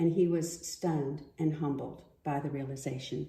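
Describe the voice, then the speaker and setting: A woman with an American accent speaks at a fairly slow pace in a very deep, low, somewhat breathy voice with a dark, mellow tone. Her intonation is fairly even, and the room echo is audible. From US. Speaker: daughter of a war veteran. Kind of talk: prepared reading.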